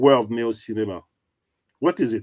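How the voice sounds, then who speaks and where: The speaker is a man with a French accent. He talks at a moderate pace. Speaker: show host. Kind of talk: interview.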